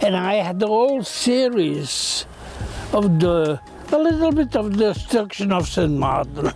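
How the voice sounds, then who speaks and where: Over music in the background, a man with a high pitch and very wide pitch swings speaks at a fairly slow pace with very even loudness. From Belgium. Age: 70s. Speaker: visual artist. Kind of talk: interview. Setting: artist's studio. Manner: halting, with repetitions.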